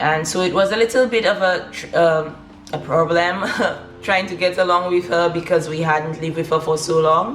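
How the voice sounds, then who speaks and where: Over noticeable background noise, a woman with a Saint Lucian accent speaks at a moderate pace, her pitch fairly low with ordinary variation. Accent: Saint Lucian Caribbean English. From Saint Lucia, south of the island. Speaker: lifestyle vlogger. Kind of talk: personal story. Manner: casual, many fillers.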